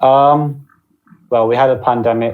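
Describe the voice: A man talks at a fairly slow pace and medium pitch, his intonation fairly even, with audible room echo.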